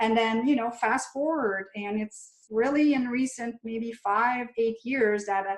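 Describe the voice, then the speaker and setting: A woman speaks fairly slowly in a fairly high voice with a French Canadian accent. Her intonation is fairly even. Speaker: chiropractor and functional medicine practitioner. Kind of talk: interview.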